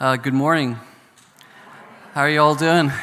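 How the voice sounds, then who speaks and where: In a Northern Irish accent, a man speaks with fairly even intonation in a room with audible echo. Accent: Northern Irish brogue. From Northern Ireland. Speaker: professor on a peace studies panel. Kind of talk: panel talk. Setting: conference stage with audience.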